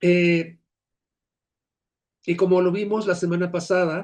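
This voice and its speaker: A man with a high pitch draws out his words at a very slow speed. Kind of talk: lecture.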